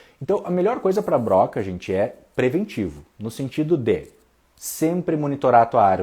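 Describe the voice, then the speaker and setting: A man with a southern Brazilian accent speaks at a moderate pace in a dark, mellow tone. His pitch swings very widely on a very clean recording with a silent background. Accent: gaúcho Brazilian Portuguese. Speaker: bonsai teacher. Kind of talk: livestream talk. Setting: Instagram live. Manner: speaks softly at one point.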